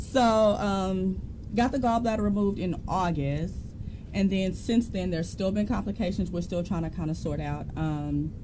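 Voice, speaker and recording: A woman at a moderate pace with ordinary pitch variation and audible room echo. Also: medium pitch for a woman. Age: 30s. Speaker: podcast co-host. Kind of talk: casual chat.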